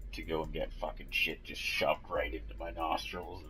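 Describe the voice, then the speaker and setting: A man talks at a moderate pace, with audible room echo and music playing in the background. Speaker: gaming tutorial youtuber. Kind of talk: game tutorial voiceover. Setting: recorded voiceover. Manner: casual, hesitant with many ums. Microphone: cheap mic, viewers complained.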